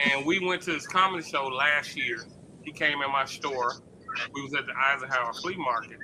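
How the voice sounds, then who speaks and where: Over noticeable background noise, a man with an American accent speaks at a moderate pace in a fairly high pitch with ordinary pitch variation. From Memphis, US South. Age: 50s. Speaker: podcast host and comedian. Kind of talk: casual chat. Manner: animated.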